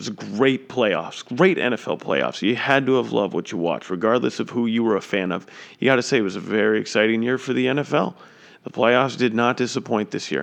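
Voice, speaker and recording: A man at a very fast pace and medium pitch, with lively intonation, an animated tone and vocal fry. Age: 20s. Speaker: sports podcast host. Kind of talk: casual solo sports commentary.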